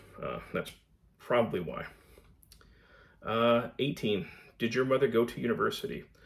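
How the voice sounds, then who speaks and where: A man with an American accent talks at a moderate pace. He leaves long, frequent pauses. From Connecticut, US. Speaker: book vlogger. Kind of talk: casual vlog Q&A. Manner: halting, many fillers.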